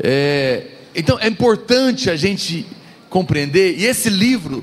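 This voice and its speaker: Very wide pitch swings mark this man's speech. He talks at a very slow pace. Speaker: pastor. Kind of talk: sermon. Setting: church. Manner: soft-spoken.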